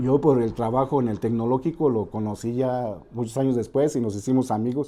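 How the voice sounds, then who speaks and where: This man talks at a moderate pace. His pitch sits in the middle range. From Celaya, Mexico. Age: 60s. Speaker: football historian and radio host. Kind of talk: interview. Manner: halting.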